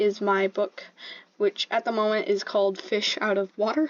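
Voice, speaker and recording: A woman with an American accent speaks at a fairly slow pace and a fairly high pitch. The sound is dry and close, with no echo. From Michigan, US. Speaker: artist and YouTuber. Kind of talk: casual chat. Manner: halting, many fillers.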